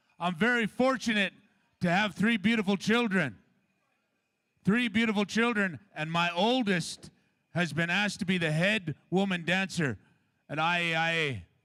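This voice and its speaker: Projecting his raised voice, a man speaks at a moderate pace in a high pitch with ordinary pitch variation. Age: 50s. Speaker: powwow announcer and father of head dancer. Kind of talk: public address at powwow. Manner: animated.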